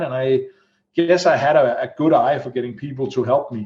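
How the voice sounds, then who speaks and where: A somewhat breathy man's voice, fairly high in pitch. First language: not English. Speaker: executive protection entrepreneur. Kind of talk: casual interview chat.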